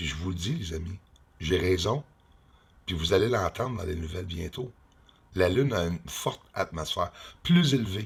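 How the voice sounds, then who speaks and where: In a put-on character voice, a man speaks very deep and low, hoarse, at a moderate pace with ordinary pitch variation and long, frequent pauses. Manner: zombie-like.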